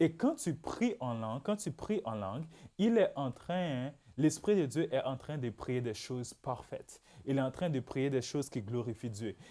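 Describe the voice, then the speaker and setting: In a very clean recording with a silent background, a man with a Haitian accent uses very wide pitch swings around a fairly high pitch, his tone dark and mellow. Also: fairly slow pace. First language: Haitian Creole (speaking French). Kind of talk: religious teaching podcast. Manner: repetitive, emphatic.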